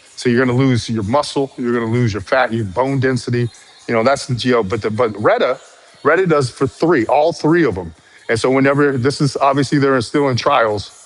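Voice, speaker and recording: Amid noticeable background noise, a man talks fairly quickly at medium pitch with ordinary pitch variation. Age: 50s. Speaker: fitness content creator. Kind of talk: live stream chat. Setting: live stream. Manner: rhythmic, a bit slangy; halting, repeats words.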